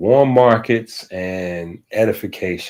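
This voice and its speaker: The man is heard on a very clean recording with a silent background. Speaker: livestream host. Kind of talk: casual livestream talk. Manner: slow; halting.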